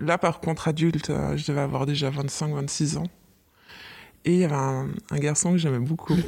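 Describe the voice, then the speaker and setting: A woman speaks with a very deep, low pitch, vocal fry and monotone, flat intonation at a moderate pace. Long, frequent pauses break up her speech on a very clean recording with a silent background. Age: 30s. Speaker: office worker, mother. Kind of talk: casual chat.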